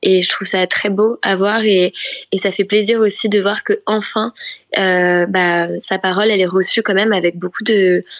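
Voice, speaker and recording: At a fairly slow pace, a woman speaks in a flat monotone at a medium pitch. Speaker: pop singer-songwriter. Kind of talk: interview answer.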